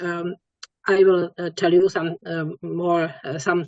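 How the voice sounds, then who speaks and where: A woman with a non-native accent, medium pitch and a very slow pace. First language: not English. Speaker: webinar moderator. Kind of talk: speaker introduction. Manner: halting.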